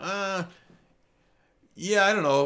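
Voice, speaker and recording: The speaker has a Midwestern US accent, heard on a very clean recording with a silent background. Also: man. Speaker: tattoo artist and podcaster. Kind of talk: solo podcast monologue, casual. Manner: casual.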